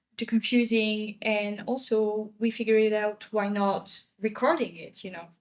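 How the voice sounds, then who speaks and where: Speaking in a French accent, a woman keeps a moderate pace with hardly any pauses. Her fairly high voice holds a fairly even intonation while its loudness swings widely. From France. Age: 20s. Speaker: podcast co-host. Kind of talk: casual chat.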